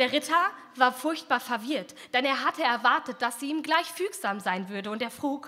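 A woman's high-pitched voice in a playful, theatrical tone, with lively intonation and a fairly slow pace. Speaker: poetry slammer. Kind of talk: poetry slam performance, rhymed fairy-tale satire read from text. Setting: stage with audience. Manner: playful and ironic, mock-storyteller tone with theatrical voices for king and princess; brisk, punchy delivery with comic timing and a defiant finish. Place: hall. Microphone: handheld.

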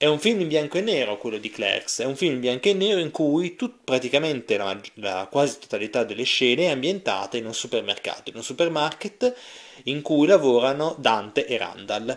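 The speaker moves at a fairly quick pace, with very wide pitch swings. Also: man, fairly high pitch for a man. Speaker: film reviewer. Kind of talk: video review monologue.

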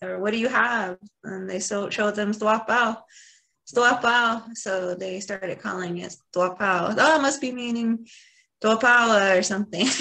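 A woman's fairly high, bright, sharp voice with an American accent, ordinary pitch variation, and a fairly slow pace. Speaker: nonprofit board member and webinar moderator. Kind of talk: webinar moderation. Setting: video call.

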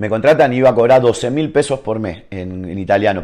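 The voice has an Argentine accent and a dark, mellow tone, moving at a very fast pace with ordinary pitch variation over a quiet background. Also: man. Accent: Rioplatense Argentine Spanish. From Argentina. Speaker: professional footballer; guest. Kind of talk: casual interview chat. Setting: at his home. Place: home room.

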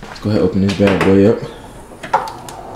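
Fairly low male speech against noticeable background noise. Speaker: car vlogger. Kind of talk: casual vlog chat. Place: garage. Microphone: phone near.

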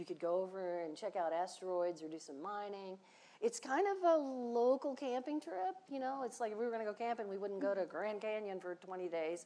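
Here a woman talks at a fairly quick pace. Her tone is dark and mellow, and her intonation is lively. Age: 60s. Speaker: space industry veteran and education leader; panelist. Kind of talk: panel discussion. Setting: stage with live audience. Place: stage. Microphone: lapel.

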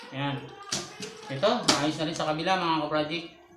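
A man speaks in a raised, projected voice while music plays in the background. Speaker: home-business siomai seller and video creator. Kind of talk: street-food vendor's how-to demo, pitching a siomai cart setup to viewers step by step.

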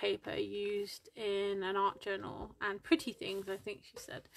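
A woman's voice at a fairly slow pace. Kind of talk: casual tutorial chat. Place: home room. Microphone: phone near.

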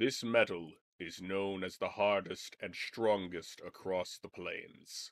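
Using a put-on character voice, a man speaks at a fairly low pitch. His pace is fairly slow. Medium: actual play. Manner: imperious, solemn.

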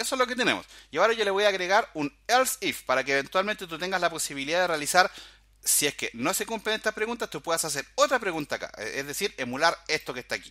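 Raising and projecting his voice, a man talks at a very fast pace and high pitch in a bright, sharp tone with very wide pitch swings, in a very clean recording over a silent background. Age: 40s. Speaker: programming instructor. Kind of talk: tutorial. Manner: casual, filler-heavy.

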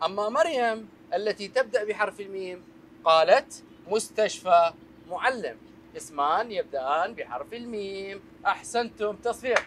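A man speaks at a fairly slow pace with big swings in loudness. Light background noise is present. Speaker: teacher on a children's show. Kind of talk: lesson to children. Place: classroom.

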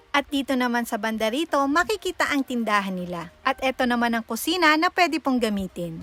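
Over music in the background, a woman talks at a fairly quick pace with hardly any pauses, in a high-pitched, animated tone with very wide pitch swings, and the sound is dry and close with no echo. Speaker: travel vlogger. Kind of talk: vlog narration. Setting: outdoors.

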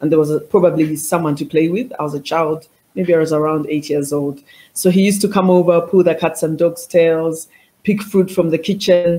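At a fairly quick pace, an ordinary speaking voice keeps fairly even intonation. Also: woman, fairly low pitch for a woman. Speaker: remote guest. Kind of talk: interview answer. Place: office.

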